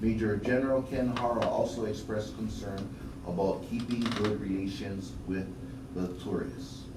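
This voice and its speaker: Noticeable background noise sits under the recording. A man talks at a fairly slow speed. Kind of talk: news report read-out. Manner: conversational, critical rant about tourists.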